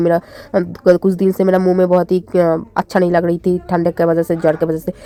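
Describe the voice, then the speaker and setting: Very fast and fairly low, a woman's dark, mellow voice comes through with a dry, close sound and no echo. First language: Bengali (speaking Hindi). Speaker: vlogger. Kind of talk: casual vlog.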